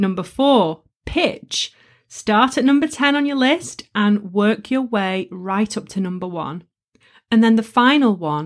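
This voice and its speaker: Fairly slow in pace, a woman speaks at a medium pitch. The recording is very clean, with a silent background. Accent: northern English. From northern England. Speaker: podcast host and coach. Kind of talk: solo tutorial podcast. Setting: studio. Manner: energetic.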